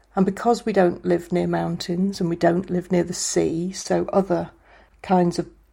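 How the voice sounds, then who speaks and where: On a very clean recording with a silent background, a woman speaks at a moderate pace and a fairly low pitch, her dark, mellow tone touched with vocal fry and her intonation monotone and flat. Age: 50s. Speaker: skateboarder and university lecturer. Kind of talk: casual interview.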